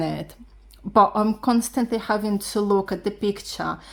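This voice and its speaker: In a very clean recording with a silent background, a woman with a non-native accent speaks at a fairly high pitch and a fairly slow pace. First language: not English. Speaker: beginner art vlogger. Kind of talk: casual vlog talk. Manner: halting.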